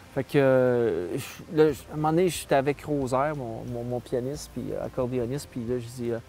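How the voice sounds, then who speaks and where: Against noticeable background noise, a man speaks at a medium pitch and a moderate pace. His intonation is fairly even, with hardly any pauses. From Quebec, Saguenay–Lac-Saint-Jean (Arvida). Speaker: musician. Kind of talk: interview, casual storytelling. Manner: hesitant, many fillers.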